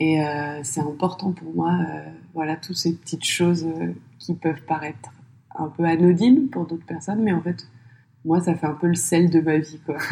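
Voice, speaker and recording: Somewhat breathy and dark, mellow in tone, a woman speaks with fairly low pitch and fairly even intonation, leaving long, frequent pauses. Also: moderate pace. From France, Paris suburbs. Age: 30s. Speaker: podcast entrepreneur. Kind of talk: interview.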